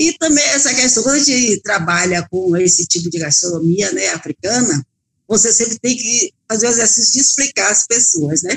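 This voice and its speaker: A woman talks at a moderate pace in a fairly high pitch. Her pitch swings very widely. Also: very even loudness, dry, close sound with no echo. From Bahia, Brazil. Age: 60s. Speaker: restaurant owner and cook. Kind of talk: interview.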